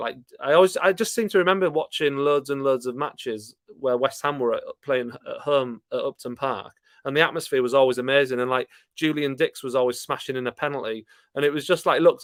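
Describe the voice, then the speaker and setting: Delivered at a very fast pace with a Yorkshire accent, the speech sounds dry and close with no echo. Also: man. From Yorkshire, Scarborough. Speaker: football fan YouTuber. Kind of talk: live stream chat reading viewer comments. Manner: casual, hesitant with fillers.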